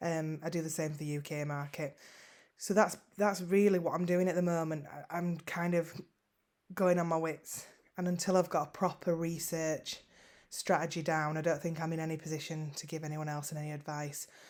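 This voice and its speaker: In a fairly strong Yorkshire accent, the speaker delivers a monotone, flat intonation on a very clean recording with a silent background. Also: woman, fairly low pitch for a woman, moderate pace. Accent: northern English (Yorkshire), fairly strong. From West Yorkshire, northern England (Huddersfield). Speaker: online seller vlogger. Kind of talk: casual vlog update. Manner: hesitant, frequent ums and repetitions.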